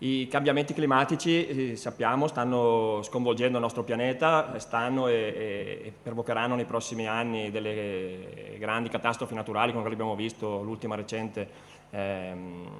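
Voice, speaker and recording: A man with an Italian accent at a fairly quick pace, with hardly any pauses. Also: medium pitch for a man, ordinary pitch variation. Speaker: mayor. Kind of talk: welcome speech.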